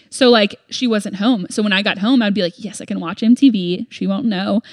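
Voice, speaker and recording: A woman speaks at a medium pitch with ordinary pitch variation. The sound is dry and close with no echo, and she has a plain, everyday voice. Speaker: podcast co-host. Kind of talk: casual chat.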